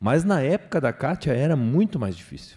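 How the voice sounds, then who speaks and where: A man speaks with a dark, mellow tone and very wide pitch swings. The background is quiet. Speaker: panel moderator. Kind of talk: panel discussion. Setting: stage with audience. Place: hall. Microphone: handheld.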